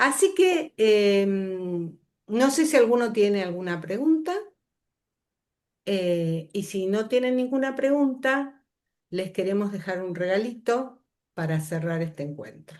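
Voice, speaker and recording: Very slow speech from a woman with a Rioplatense accent and lively intonation. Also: medium pitch for a woman. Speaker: workshop facilitator. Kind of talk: lecture.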